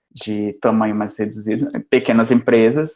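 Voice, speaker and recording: A man with an Amazonas accent, medium pitch, fairly even intonation and a moderate pace. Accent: Amazonas accent, noticeable. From Amazonas, northern Brazil. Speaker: university lecturer in software engineering. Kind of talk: lecture.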